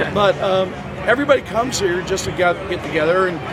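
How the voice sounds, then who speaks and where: In an American accent, a man talks at a very fast pace and high pitch with ordinary pitch variation, with audible room echo and noticeable background noise. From New Jersey. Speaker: construction worker, local interviewee. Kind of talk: casual interview. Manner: halting, many fillers.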